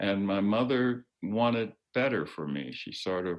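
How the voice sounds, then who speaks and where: A man is talking. Ordinary pitch variation shapes his speech. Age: 80s+. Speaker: retired judge and civil rights lawyer. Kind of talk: interview. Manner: halting.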